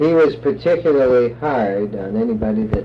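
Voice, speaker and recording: A man's voice, with ordinary pitch variation, is heard amid noticeable background noise. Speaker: oral history interviewer. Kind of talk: interview questions.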